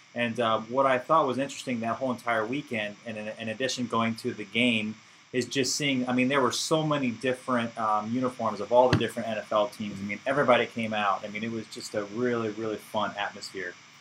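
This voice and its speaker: A man with an American accent speaks at a medium pitch with fairly even intonation and hardly any pauses, over noticeable background noise. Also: fairly quick pace. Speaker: football fan. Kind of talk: casual chat. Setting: studio.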